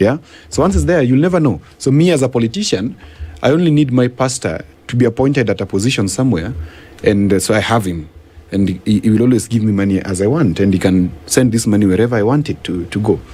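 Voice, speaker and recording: A man talks at a very fast pace, his medium-pitched voice carrying a lively intonation. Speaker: governance and policy expert. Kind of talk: radio interview. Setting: radio studio.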